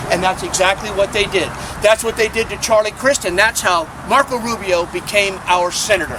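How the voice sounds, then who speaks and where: A man talks at a fairly quick pace with a high pitch and fairly even intonation. Noticeable background noise runs behind him. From Florida. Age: 60s. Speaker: environmental activist. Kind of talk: rally speech. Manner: impassioned, with repeated words.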